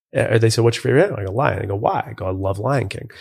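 In a very clean recording with a silent background, a man with a Western New York accent sounds somewhat breathy. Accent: Western New York American. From western New York, US. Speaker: reality TV personality and business podcaster. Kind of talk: casual interview. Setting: live in-person recording.

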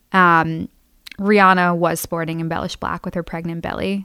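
A woman's ordinary speaking voice, fairly low-pitched, with fairly even intonation and a fairly quick pace. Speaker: student. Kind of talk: casual chat. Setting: studio.

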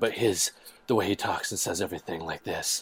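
A man uses a put-on character voice that is raspy and fairly low. He talks at a fairly quick pace. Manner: intense.

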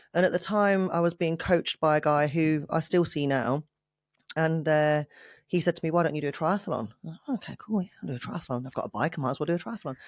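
Talking at a very fast pace, a woman with a British accent has a very deep, low pitch and ordinary pitch variation, recorded with a dry, close sound, no echo, and a very clean, silent background. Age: 30s. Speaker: fitness coach and bodybuilding competitor. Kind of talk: interview.

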